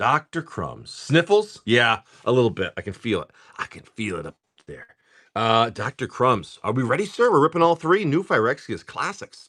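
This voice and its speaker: In a dry, close recording with no echo, a man talks in an animated tone with vocal fry and very wide pitch swings. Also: big swings in loudness. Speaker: live card-opening streamer. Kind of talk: live stream card pack opening. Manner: casual, animated.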